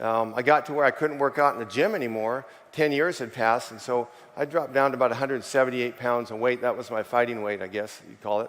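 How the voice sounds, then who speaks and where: A man talks at a very fast pace in a medium pitch, his intonation fairly even while his loudness swings widely. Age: 60s. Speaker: chimney sweep and network marketer. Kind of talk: testimony. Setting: stage with audience. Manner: conversational, hesitant with fillers.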